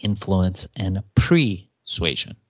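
Over a quiet background, a man with an American accent speaks in a fairly low pitch with lively intonation. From Iran, raised in Los Angeles. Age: 40s. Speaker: entrepreneur and e-commerce coach. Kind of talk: interview. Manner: animated.

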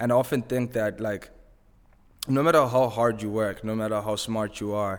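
Fairly even intonation at a moderate pace, in a Zimbabwean accent. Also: man. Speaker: music manager and tech business developer. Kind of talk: casual chat.

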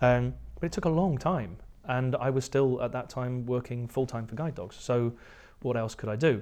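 In a strong English accent, a man speaks at a medium pitch and a moderate pace with ordinary pitch variation against a quiet background. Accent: English, fairly strong. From southern England. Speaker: entrepreneur, tech company founder. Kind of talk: casual interview chat.

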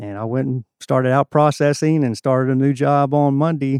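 A man's medium-pitched voice with a dark, mellow tone and a Southern US accent, fairly quick in pace, dry and close with no echo, against a quiet background. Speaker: church volunteer bass player. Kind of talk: testimony.

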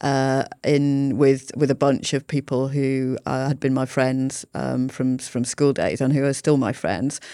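Speaking at a fairly slow pace with hardly any pauses, a woman has a very deep, low pitch and a dark, mellow tone. Her intonation is monotone and flat, on a very clean recording with a silent background. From Yorkshire, England. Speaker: health service chief executive. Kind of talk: interview conversation.

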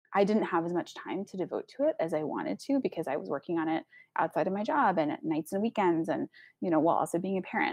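Very fast and with very wide pitch swings, a woman with an American accent speaks at a medium pitch, with a dry, close sound with no echo and a quiet background. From Texas. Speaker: nonprofit founder. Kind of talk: interview.

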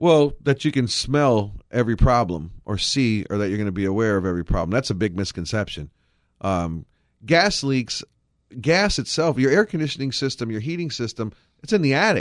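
A man talks at a fairly quick pace with a medium pitch and very wide pitch swings. The recording is very clean, with a silent background. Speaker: heating and air conditioning business owner. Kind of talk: casual chat. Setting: studio.

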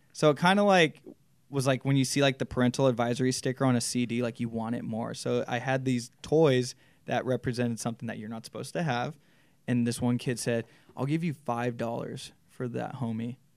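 This man has a plain, everyday voice at a medium pitch, with an American accent. His intonation is fairly even, and the recording is very clean with a silent background. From Southern California, Inland Empire (Chino Hills). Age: 20s. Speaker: clothing store owner. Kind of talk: casual interview chat.

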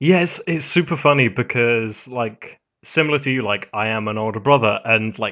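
At a moderate pace, a man with a British accent speaks at a medium pitch with ordinary pitch variation. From Britain. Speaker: podcast host. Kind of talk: casual chat.

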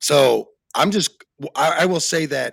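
A man with an American accent and vocal fry, in a dry, close sound with no echo. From Arizona. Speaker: podcast host. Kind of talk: casual chat. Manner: animated.

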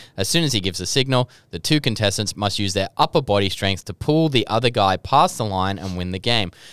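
Hardly pausing, a man with an Australian accent talks with lively intonation in a dry, close sound with no echo. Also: fairly low pitch for a man, fairly quick pace. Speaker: podcast host. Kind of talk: casual chat. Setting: studio.

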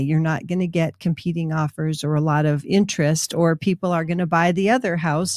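A woman talks at a moderate pace with fairly low pitch and ordinary pitch variation, an unremarkable speaking voice. The sound is dry and close, with no echo. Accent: American. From Minnesota. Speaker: real estate agent and radio host. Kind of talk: casual radio talk show.

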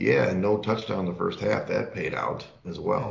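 A fairly low-pitched man at a moderate pace, monotone and flat, with audible room echo. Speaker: sports betting podcast co-host. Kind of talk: casual chat.

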